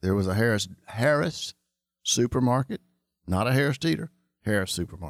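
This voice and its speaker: In a very clean recording with a silent background and a dry, close sound with no echo, a man with a North Carolina accent speaks at medium pitch and a fairly quick pace, with lively intonation, very even loudness, and long, frequent pauses. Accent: Southern US (North Carolina). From US South, Charlotte, North Carolina. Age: 60s. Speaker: insurance agency owner. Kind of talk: interview.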